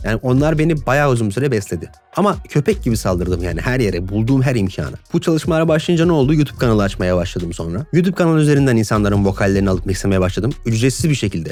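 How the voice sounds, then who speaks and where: A man talks at a very fast pace with hardly any pauses, his medium-pitched voice making very wide pitch swings. Noticeable noise sits in the background. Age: 20s. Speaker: mix engineer and YouTuber. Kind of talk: casual podcast monologue.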